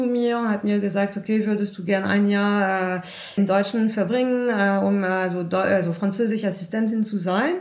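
A woman's medium-pitched voice stays monotone and flat, with noticeable background noise behind it. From France. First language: French (speaking German). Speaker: volunteer at a francophone newcomers' association. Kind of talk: interview. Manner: halting, many hesitations.

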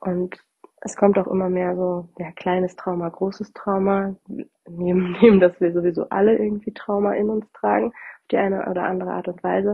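Fairly even intonation at a moderate pace from a woman with a medium pitch. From northern Germany. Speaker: podcast host, bereavement doula and coach. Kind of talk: solo podcast talk. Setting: recording at her parents' home. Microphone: without her usual microphone, sound differs.

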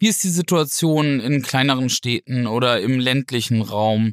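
A man's plain, everyday voice at a medium pitch, moderate in pace with ordinary pitch variation, in a dry, close sound with no echo and a very clean recording with a silent background. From northern Germany, Flensburg (Schleswig-Holstein). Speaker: politician, member of European Parliament. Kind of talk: podcast discussion.

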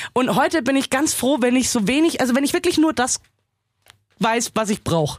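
A woman with a high voice and lively intonation speaks at a moderate pace with long, frequent pauses and very even loudness, in a dry, close sound with no echo. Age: 30s. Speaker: film podcast co-host. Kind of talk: casual chat.

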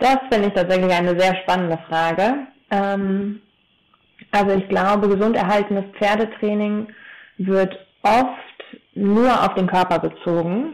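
A woman at medium pitch speaks with fairly even intonation, leaving long, frequent pauses. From Taunus, Hesse, Germany. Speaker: horse trainer and equine osteopath. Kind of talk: podcast interview. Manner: hesitant with many fillers.

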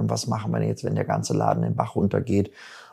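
Vocal fry runs through this man's speech. His tone is dark and mellow. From Germany, Bielefeld (Jöllenbeck). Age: 50s. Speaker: musician and agency owner. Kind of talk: casual interview.

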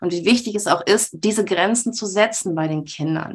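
At a medium pitch, a woman with an unremarkable speaking voice talks at a moderate speed, her pitch varying in an ordinary way. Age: 30s. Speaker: mother, self-employed former social worker. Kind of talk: interview.

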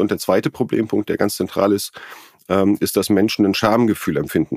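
The man's pace is moderate. His voice comes through dry and close, without echo. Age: 40s. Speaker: company founder. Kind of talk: interview. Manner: halting, many fillers.

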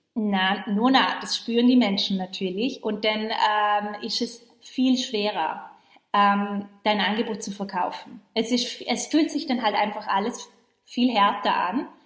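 Speaking at a very slow pace, a woman with a fairly high pitch sounds somewhat breathy, her pitch varying in an ordinary way. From western Austria, Vorarlberg. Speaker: podcast host, online business coach. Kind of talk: recorded live training, motivational talk. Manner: animated.

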